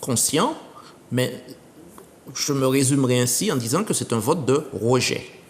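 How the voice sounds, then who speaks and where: A man at a medium pitch speaks at a fairly slow pace with ordinary pitch variation and long, frequent pauses. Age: 60s. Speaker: retired teacher and political candidate. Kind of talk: TV interview.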